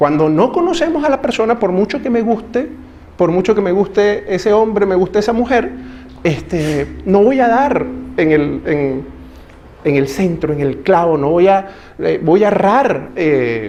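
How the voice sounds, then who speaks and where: A man with a Venezuelan accent speaks at a fairly slow pace, his high pitch moving in very wide swings. Audible room echo and noticeable background noise fill the recording. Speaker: pastor. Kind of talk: sermon. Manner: conversational, addresses audience with questions.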